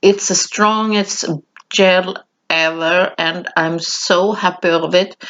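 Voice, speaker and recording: This woman talks at a very slow pace in a non-native accent. Her intonation is monotone and flat, at a medium pitch. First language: not English. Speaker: mixed media artist, craft tutorial creator. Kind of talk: voiceover craft tutorial. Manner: halting, with many fillers.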